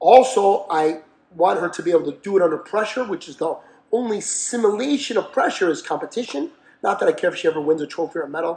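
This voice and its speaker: A man talks at a very fast pace, his intonation lively and his loudness swinging widely. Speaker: boxing trainer. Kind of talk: casual chat.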